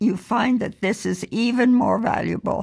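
Vocal fry marks this woman's fairly high-pitched voice. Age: 90s. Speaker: podcast guest, host's mother. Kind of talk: casual chat. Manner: slow.

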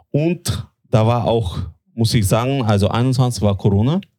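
This man's voice sits fairly low, with a dark, mellow tone and ordinary pitch variation. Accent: Russian. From Latvia. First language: Russian (speaking German). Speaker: tobacco importer. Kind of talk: interview.

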